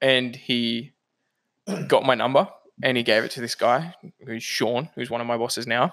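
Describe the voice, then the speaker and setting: A man speaks with an Australian accent. He leaves long, frequent pauses. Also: medium pitch for a man, fairly even intonation, moderate pace. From Australia, New South Wales. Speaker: civil engineer. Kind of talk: casual chat.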